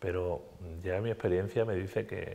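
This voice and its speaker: A man's very deep, low voice with a dark, mellow tone at a fairly quick pace. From Andalusia, Spain. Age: 60s. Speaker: politician. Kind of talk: TV interview. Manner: animated.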